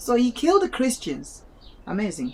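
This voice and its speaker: A woman speaks in a dark, mellow tone at a fairly high pitch. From Malawi. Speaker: student reading aloud for video. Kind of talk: casual commentary; reading aloud with commentary. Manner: halting, self-correcting.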